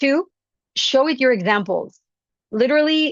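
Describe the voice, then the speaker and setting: A woman speaks with a non-native accent. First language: not English. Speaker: business founder and singer giving a talk. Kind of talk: conference presentation.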